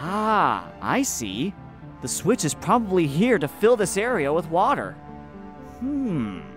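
A put-on character voice sits at a middle pitch and a fairly slow pace. Clear music plays in the background.

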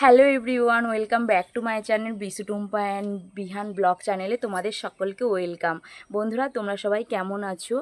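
With a West Bengal accent, a woman at medium pitch speaks in fairly even intonation, the sound dry and close with no echo. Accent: West Bengal Bengali. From West Bengal, Hooghly district. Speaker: housewife vlogger. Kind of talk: vlog introduction. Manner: halting.

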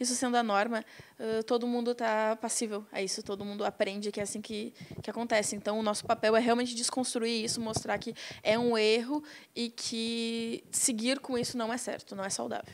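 Against light background noise, a woman with a fairly high voice talks at a moderate pace in a monotone, flat intonation. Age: young. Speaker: activist, documentary participant; guest. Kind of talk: interview. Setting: studio. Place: studio. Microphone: handheld.

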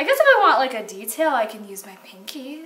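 The talker is a woman. She keeps to a moderate tempo. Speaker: art video creator. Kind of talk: casual vlog chat. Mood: playful, mock complaining.

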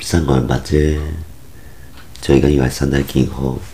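Moving at a moderate pace, a man speaks in a very deep, low pitch with monotone, flat intonation. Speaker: vlogger. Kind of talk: casual monologue. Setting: at home. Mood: relaxed, reflective. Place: home room.

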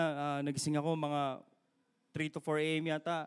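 Over a quiet background, a man speaks in a fairly high pitch. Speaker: guest preacher. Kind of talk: sermon. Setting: church with live stream. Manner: animated, exhorting the congregation with repeated call-and-response 'Amen?'; rapid Taglish, mixing English and Tagalog. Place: church. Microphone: handheld.

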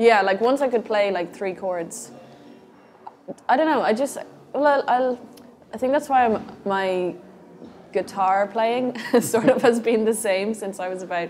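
A woman talks at a fairly slow pace with ordinary pitch variation and long, frequent pauses. Light background noise can be heard. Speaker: interviewee. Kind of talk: interview answer. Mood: relaxed, thoughtful. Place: home room.

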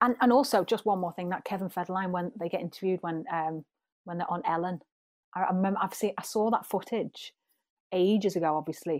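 The speaker, in a Liverpool accent, talks at a very fast pace with ordinary pitch variation. The recording is very clean, with a silent background and a dry, close sound without echo. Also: woman, medium pitch for a woman. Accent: Scouse. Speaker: pop singer. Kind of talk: interview answer. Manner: chatty.

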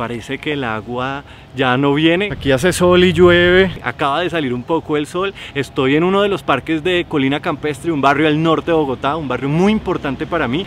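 A fairly high-pitched man at a fairly quick pace with hardly any pauses and ordinary pitch variation, over light background noise in a dry sound with no echo. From Cali, Colombia. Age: 30s. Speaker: filmmaker. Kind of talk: casual vlog talk to camera. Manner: talkative. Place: garden.

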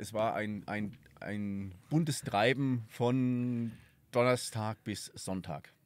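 A man at a medium pitch with a slight Franconian accent, very slow pace, ordinary pitch variation and a dry sound with no echo. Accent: slight Franconian tinge. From southern Thuringia, Germany. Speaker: podcast host, tourism events organizer; podcast host. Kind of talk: casual interview. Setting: outdoors at a mountain hut. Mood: relaxed, reflective. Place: open country. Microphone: studio mic.

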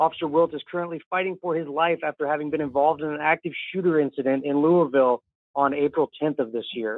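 In an American accent, a man talks at a very fast pace with fairly even intonation and a fairly high pitch. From US Midwest. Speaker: listener calling in. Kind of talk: voicemail message.

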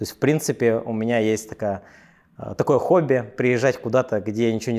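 With a dark, mellow tone, a man speaks at medium pitch and a fairly quick pace. His intonation is fairly even, and the background is quiet. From Russia, Yakutia; Russia. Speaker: entrepreneur; interview guest. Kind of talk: interview. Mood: relaxed, confident storytelling. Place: office. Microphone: lapel.

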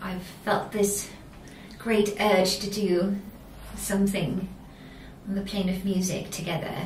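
With long, frequent pauses, a woman speaks at a very slow pace and a medium pitch in a monotone, flat delivery, with light background noise and audible room echo. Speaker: singer. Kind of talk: band interview. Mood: calm, warm. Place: meeting room. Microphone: camera far.

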